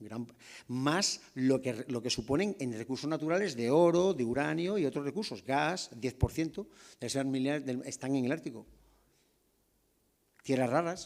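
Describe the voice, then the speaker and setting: Speaking at a moderate pace with lively intonation and long, frequent pauses, a man with a fairly high pitch is heard on a very clean recording with a silent background. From southern Spain. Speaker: army general, strategic studies director. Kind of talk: lecture. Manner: halting with false starts.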